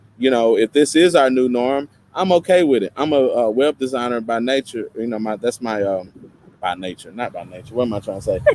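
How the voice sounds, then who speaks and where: A man with a slight Tennessee accent, medium pitch, lively intonation and a fairly quick pace, in a dry, close sound with no echo. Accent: slight Tennessee twang. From East Tennessee. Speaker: podcast co-host and web designer. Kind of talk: casual chat. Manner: frequent fillers and hesitations.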